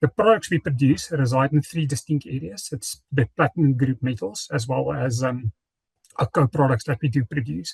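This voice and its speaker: Using vocal fry and lively intonation, a man talks at a moderate pace. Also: medium pitch for a man, dry, close sound with no echo. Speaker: corporate sustainability presenter. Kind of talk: conference presentation. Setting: conference forum.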